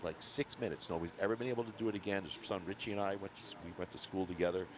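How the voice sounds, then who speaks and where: With a Maine accent, a man speaks at a very fast pace. His pitch is fairly low and his intonation fairly even. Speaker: ski race commentator. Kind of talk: casual chat.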